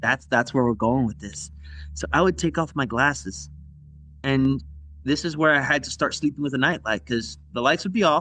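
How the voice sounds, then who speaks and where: A man's bright, sharp tone at a medium pitch, with ordinary pitch variation and a moderate pace. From US South, Cuban immigrant family. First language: Spanish. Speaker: podcast guest storyteller. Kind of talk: casual chat, telling a spooky story.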